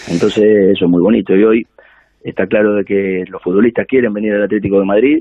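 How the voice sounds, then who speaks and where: Very fast pace with fairly even intonation. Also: man, fairly low pitch for a man. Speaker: football coach. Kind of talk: interview.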